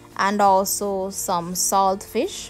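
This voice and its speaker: A woman speaking at a very slow pace over faint background music. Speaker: home cooking channel host. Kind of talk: tutorial. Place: kitchen.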